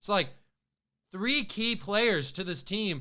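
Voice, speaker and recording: A raised, projected voice with a bright, sharp tone and lively intonation moves at a moderate pace on a very clean recording with a silent background. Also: man. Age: 20s. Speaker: sports podcast host. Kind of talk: casual sports commentary monologue. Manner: animated.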